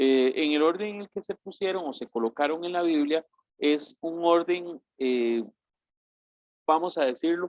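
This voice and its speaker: Here is a man with a normal speaking voice. He talks at a fairly slow pace. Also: fairly high pitch for a man, ordinary pitch variation. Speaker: bible course teacher. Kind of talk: lecture.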